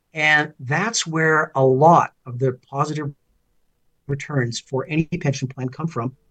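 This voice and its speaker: In a plain, everyday voice with a Canadian accent, the speaker goes at a fairly slow pace with fairly even intonation. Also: man, fairly high pitch for a man. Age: 60s. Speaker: finance commentator and former political candidate. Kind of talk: interview.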